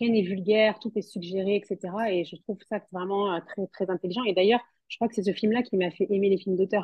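A woman's normal speaking voice, medium in pitch, with fairly even intonation at a moderate pace. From southwest France, Toulouse. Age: 30s. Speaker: fashion model and mother. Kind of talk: interview.

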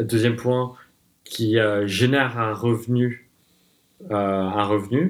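Ordinary pitch variation in a man's medium-pitched voice. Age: 20s. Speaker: designer and entrepreneur. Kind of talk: casual interview.

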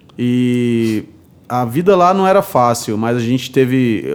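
A man's voice at medium pitch. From Brazil, Paraíba (Cariri, Juazeirinho). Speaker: bartender. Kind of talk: interview.

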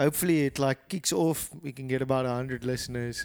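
A man with a South African accent speaks at a medium pitch on a very clean recording with a silent background. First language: Afrikaans. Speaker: podcast co-host. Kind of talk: casual chat.

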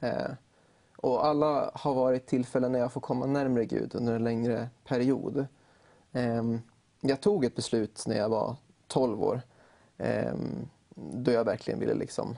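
A man's medium-pitched voice, dark and mellow in tone, with fairly even intonation, a fairly slow pace and long, frequent pauses. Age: 20s. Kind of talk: interview chat.

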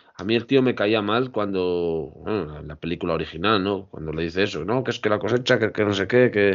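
A man with an unremarkable speaking voice, fairly low in pitch, with ordinary pitch variation and a fairly quick pace. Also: hardly any pauses. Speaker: podcast co-host. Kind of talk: casual chat.

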